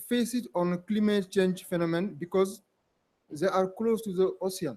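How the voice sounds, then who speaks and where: At a moderate pace, a man speaks with a high-pitched voice. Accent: French. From Senegal. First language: French. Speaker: government culture official, audience member. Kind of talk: audience question. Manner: halting. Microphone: mic held too far from mouth.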